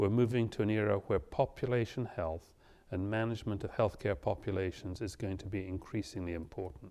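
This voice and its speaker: Fairly low in pitch, a man with a British accent talks at a fairly quick pace in a dark, mellow tone with ordinary pitch variation. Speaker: physician lecturer. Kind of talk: lecture.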